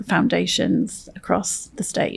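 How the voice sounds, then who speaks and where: A woman with an English accent at a fairly slow pace. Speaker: veteran nonprofit executive, military veteran. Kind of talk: interview conversation.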